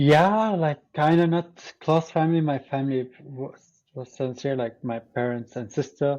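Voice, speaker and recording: A man with an Arabic accent talks at a fairly slow pace. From Syria. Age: 20s. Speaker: teacher education student. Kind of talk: podcast interview. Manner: hesitant, many fillers.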